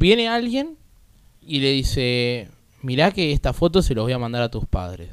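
With a Rioplatense accent, a man talks at a medium pitch and a moderate pace with very wide pitch swings. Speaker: guest, kinesiology student and content creator. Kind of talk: casual chat.

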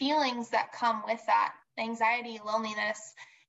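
Speaking fairly slowly with an American accent, a woman has a fairly high voice and a bright, sharp tone. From US Midwest, Southeast Michigan. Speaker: speech-language pathologist. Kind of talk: casual interview. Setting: video call.

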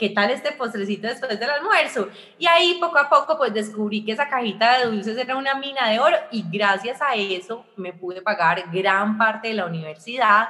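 With an Antioquian accent, a woman talks at a moderate pace and a fairly high pitch, her tone animated and her intonation lively, with hardly any pauses, over noticeable background noise. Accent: Colombian paisa Spanish. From Colombia, Armenia (Quindío). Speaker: entrepreneur and communicator. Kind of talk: interview.

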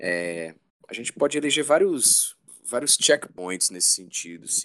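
A man speaking at a moderate pace. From Brazil, Fortaleza (Ceará). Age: 40s. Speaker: rock band vocalist. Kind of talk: casual interview.

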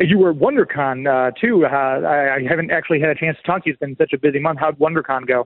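Upbeat and enthusiastic, a man races along at a very fast pace with a fairly high pitch and big swings in loudness. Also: ordinary pitch variation, hardly any pauses. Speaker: radio host. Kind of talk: radio DJ patter, upbeat live show host with sponsor plugs. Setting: live at a convention. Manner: upbeat, chatty, enthusiastic.

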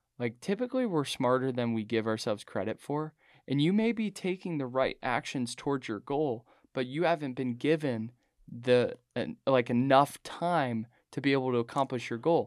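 A man speaks at a moderate pace in a normal speaking voice, with medium pitch and ordinary pitch variation. The recording is very clean, with a silent background and a dry, close sound with no echo. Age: 20s. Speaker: running coach and ultra-endurance athlete. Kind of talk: casual interview chat.

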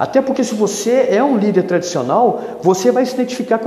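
Over noticeable background noise, a man talks at a fairly quick pace. His pitch is extremely high, with ordinary variation. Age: 50s. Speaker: youth pastor. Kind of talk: solo podcast monologue.

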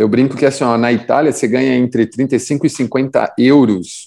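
A man with a normal speaking voice talks at a moderate pace, his medium pitch varying in an ordinary way. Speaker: podcast host, indoor cycling instructor. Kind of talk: casual chat.

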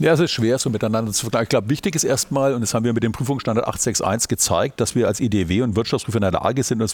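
Very fast and medium in pitch, a man's voice shows ordinary pitch variation in a very clean recording with a silent background. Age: 50s. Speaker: auditor and managing partner. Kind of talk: podcast interview. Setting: university recording on site.

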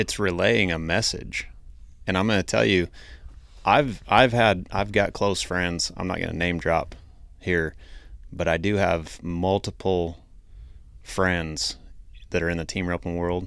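Speaking at a fairly slow pace with long, frequent pauses, a man with an American accent uses a very deep, low voice with ordinary pitch variation, in a very clean recording with a silent background. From Idaho. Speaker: podcast host. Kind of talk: casual chat.

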